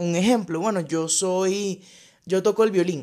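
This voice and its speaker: Ordinary pitch variation marks a woman's medium-pitched voice at a moderate pace. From Venezuela, Zulia (Cabimas). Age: 30s. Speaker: podcast host. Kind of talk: solo podcast monologue.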